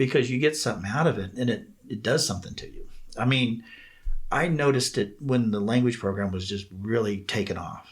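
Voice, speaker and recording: A somewhat breathy man's voice at medium pitch, fairly quick in pace, with ordinary pitch variation. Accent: American. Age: 60s. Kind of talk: podcast interview.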